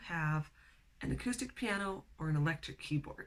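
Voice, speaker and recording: Somewhat breathy and fairly low in pitch, a woman speaks with lively intonation. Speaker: piano teacher. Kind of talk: tutorial. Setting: home music studio. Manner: friendly, encouraging.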